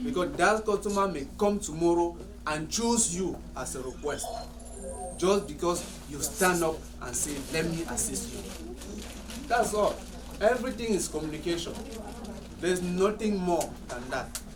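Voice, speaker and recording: High-pitched man at a moderate pace with ordinary pitch variation and long, frequent pauses, plus audible room echo and music in the background. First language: French. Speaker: salon owner. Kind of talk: staff meeting discussion.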